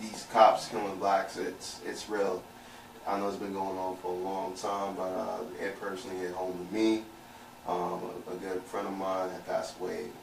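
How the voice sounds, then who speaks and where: Flat, monotone speech from a man with an American accent, fairly low in pitch and moderate in pace, with audible room echo and noticeable background noise. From Brooklyn, New York (Canarsie). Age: 30s. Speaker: podcast guest. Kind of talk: casual chat. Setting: studio.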